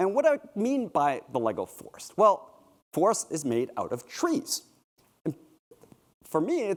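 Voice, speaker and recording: A man talks at a moderate pace in a Canadian accent. His pitch swings very widely. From Canada. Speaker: keynote speaker at a fan convention. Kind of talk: conference keynote talk. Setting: stage with audience. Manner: casual and joking, with fillers and restarts.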